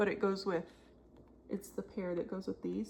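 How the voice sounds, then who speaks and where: The voice has vocal fry and a dark, mellow tone. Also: woman. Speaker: cross stitch video creator. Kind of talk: casual show-and-tell chat. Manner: slow.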